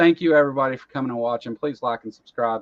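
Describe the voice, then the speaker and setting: Very fast male speech with a fairly high pitch and a Southern US accent, dry and close with no echo. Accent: rural Southern US accent, noticeable. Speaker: talk show host. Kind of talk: casual chat. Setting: live online stream.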